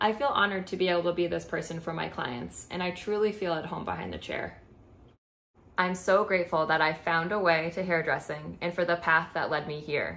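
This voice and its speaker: A woman's fairly low voice at a fairly quick pace, with fairly even intonation. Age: 20s. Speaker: cosmetology student, former nurse. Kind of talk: scholarship application video, prepared statement. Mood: earnest, warm. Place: home room. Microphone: webcam.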